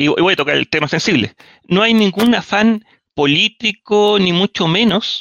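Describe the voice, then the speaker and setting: In a Chilean accent, a man with a high voice speaks at a fairly slow pace with lively intonation. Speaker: engineer and history enthusiast. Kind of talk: casual chat.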